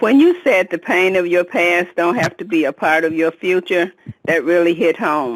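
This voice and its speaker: This is a plain, everyday voice. It moves at a moderate pace with ordinary pitch variation. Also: woman, fairly low pitch for a woman. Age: 60s. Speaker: caller. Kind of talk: testimony.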